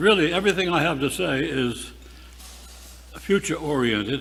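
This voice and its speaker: Speaking at a fairly slow pace, a man uses a fairly high pitch with very wide pitch swings and vocal fry. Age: 80s+. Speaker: retired-age priest. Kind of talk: speech at parish annual meeting.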